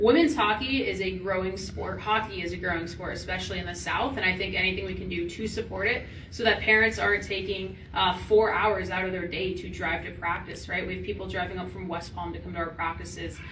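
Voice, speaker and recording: In an American accent, a woman speaks at a fairly quick pace. Noticeable background noise and audible room echo fill the recording. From Washington, D.C. area. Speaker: hockey coach. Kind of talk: panel discussion.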